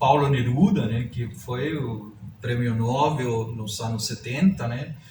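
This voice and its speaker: A man with a medium pitch speaks at a very slow pace, with big swings in loudness. Audible room echo and noticeable background noise fill the recording. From southern Chile. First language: Spanish (speaking Portuguese). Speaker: writer. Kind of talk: interview. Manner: hesitant, many fillers.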